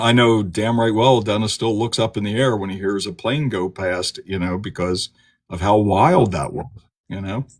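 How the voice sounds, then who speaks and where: Here a man with an ordinary speaking voice and an American accent talks at a moderate pace, his pitch fairly low with ordinary pitch variation. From Delaware, US. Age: 50s. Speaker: trauma therapist. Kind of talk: casual podcast interview.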